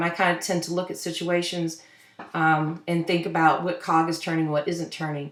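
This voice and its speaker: In a room with audible echo, a woman with a fairly low pitch talks at a fairly quick pace in a monotone, flat intonation. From Louisville, Kentucky. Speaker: social work professor. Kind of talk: online course introduction lecture. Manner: fast; halting, many fillers.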